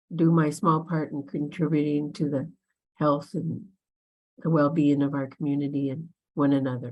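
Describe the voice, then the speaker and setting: A woman with an American accent speaks at a fairly slow pace in a very deep, low voice. Her tone is dark and mellow, her intonation fairly even. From Minneapolis, US Midwest. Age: 70s. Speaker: community elder giving the blessing. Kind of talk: personal introduction.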